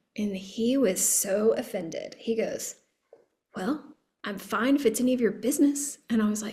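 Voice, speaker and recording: A woman with a fairly high voice keeps a moderate pace, her pitch varying in an ordinary way. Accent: Texan. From Texas. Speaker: podcast host. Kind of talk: casual interview chat.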